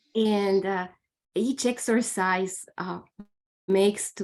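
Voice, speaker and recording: A woman's medium-pitched voice in a flat monotone, with a non-native accent. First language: not English. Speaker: meditation student. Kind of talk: group sharing. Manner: halting.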